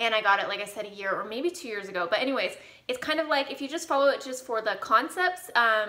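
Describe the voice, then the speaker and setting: Her intonation lively, a woman speaks at a high pitch. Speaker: home decor vlogger. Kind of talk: casual vlog chat. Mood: cheerful, enthusiastic. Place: home room. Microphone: camera far.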